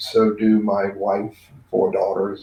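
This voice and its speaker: In a dark, mellow tone, a man with an American accent speaks at a fairly slow pace. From Maryland. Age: 60s. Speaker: business trainer. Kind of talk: casual interview chat.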